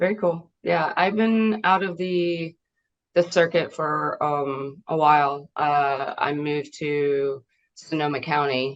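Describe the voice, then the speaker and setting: Very slowly, a woman with a slight Southern US accent speaks in a very deep, low pitch. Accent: slight Southern twang. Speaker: voice actress. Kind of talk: interview. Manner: halting.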